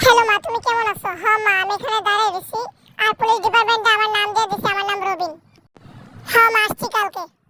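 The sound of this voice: A woman's cartoonish character voice, extremely high-pitched, fairly quick and monotone with flat intonation.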